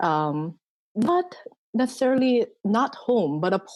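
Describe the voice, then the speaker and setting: Against a quiet background, a woman speaks with a Korean accent. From South Korea, partly raised in Sri Lanka. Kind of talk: casual interview conversation. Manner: hesitant, many fillers.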